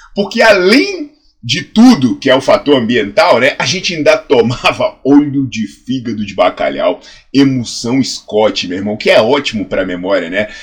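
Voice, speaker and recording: A man talks with a Brazilian accent at a moderate pace. His tone is animated. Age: 40s. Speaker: health science professor and fitness educator. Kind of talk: educational video monologue.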